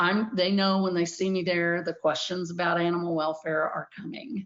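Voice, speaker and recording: A woman with an American accent and an unremarkable speaking voice talks at a fairly low pitch and moderate pace with fairly even intonation. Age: 60s. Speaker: animal welfare advocate. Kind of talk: conference talk. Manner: casual with frequent fillers.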